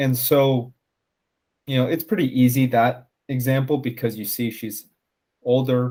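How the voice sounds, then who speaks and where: A man speaks at a fairly slow pace with an American accent, his dark, mellow tone sitting at medium pitch, his intonation fairly even and broken by long, frequent pauses. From United States. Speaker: podcast host. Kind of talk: casual chat.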